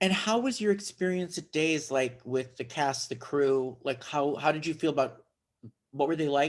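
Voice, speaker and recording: At a moderate pace, a man with a fairly high pitch speaks in a plain, everyday voice, his pitch varying in an ordinary way. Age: 60s. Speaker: interviewer. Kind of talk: interview.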